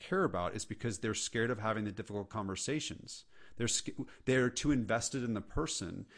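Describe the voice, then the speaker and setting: An unremarkable speaking voice from a man, medium in pitch, with ordinary pitch variation and an American accent. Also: quiet background. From California. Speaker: entrepreneur and leadership speaker. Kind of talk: casual interview chat.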